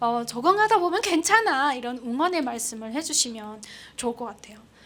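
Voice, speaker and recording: Female speech in very wide pitch swings, audible room echo trailing it. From North Korea, Pyongyang. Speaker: North Korean defector broadcaster. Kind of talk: public lecture.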